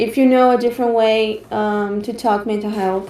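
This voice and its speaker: A fairly high-pitched woman's voice, dark and mellow in tone, with fairly even intonation and a Brazilian accent. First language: Portuguese. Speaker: online course trainer. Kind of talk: online training session presentation. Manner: halting, frequent fillers.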